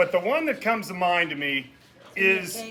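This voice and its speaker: The voice is raised and projected, swinging very widely in pitch. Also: man. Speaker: boss of the birthday woman giving a toast. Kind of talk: birthday roast speech. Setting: party with audience, no microphone. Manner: loud. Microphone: no microphone.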